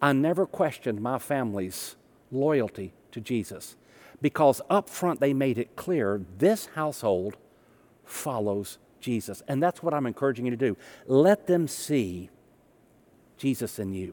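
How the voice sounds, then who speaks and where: A man with a medium-pitched voice and a Southern US accent talks at a fairly slow pace, with long, frequent pauses and very wide pitch swings. The recording is very clean, with a silent background. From US South. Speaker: pastor. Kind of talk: sermon.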